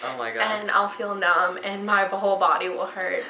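With fairly even intonation and at a fairly quick pace, a woman talks in a space with audible room echo and light background noise. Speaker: vlogger. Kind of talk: casual vlog chat. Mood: relaxed, laughing. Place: home room. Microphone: webcam.

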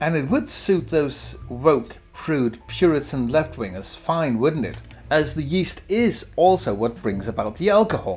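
The speech moves at a fairly slow pace while faint music plays in the background. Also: man. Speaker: beer reviewer. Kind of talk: casual commentary. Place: home room.

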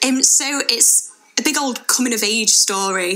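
This is a woman speaking. She has a Manchester accent. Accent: Greater Manchester English. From Bury, Greater Manchester, England; England. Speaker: theatre producer and director. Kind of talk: radio interview. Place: studio.

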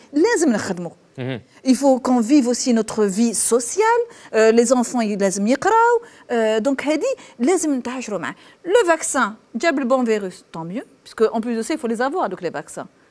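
Her pace is moderate as this woman speaks. She has a high pitch and lively intonation. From Algeria. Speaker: thoracic surgeon; guest. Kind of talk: TV panel discussion. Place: studio. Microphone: lapel.

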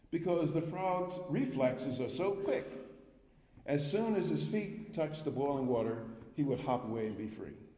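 In a room with audible echo, a man speaks at a moderate pace with lively intonation. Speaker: guest lecturer, economics professor. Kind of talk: lecture. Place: hall. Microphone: podium.

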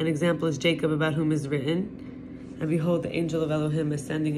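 A woman with a very deep, low pitch talks at a fairly quick pace. Noticeable background noise runs behind her. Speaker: reader of religious text. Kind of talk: reading aloud of scripture with brief asides. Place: home room. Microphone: phone near.

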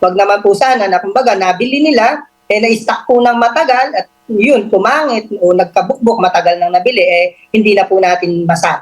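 A woman speaks at a medium pitch with ordinary pitch variation. Her pace is fairly quick, and she has an unremarkable speaking voice. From Philippines, Pampanga. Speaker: government agency official. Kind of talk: radio interview.

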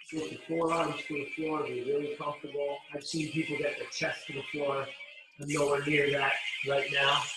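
A man speaks at a moderate pace. There is audible room echo and noticeable background noise. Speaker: fitness instructor. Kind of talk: tutorial. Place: garage. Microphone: camera far.

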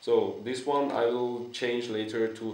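A man speaks at a fairly slow pace with a non-native accent. Room echo is audible. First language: not English. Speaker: unicycle builder and vlogger. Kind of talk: video presentation of a product. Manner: halting, hesitant with fillers. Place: home room. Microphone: camera far.

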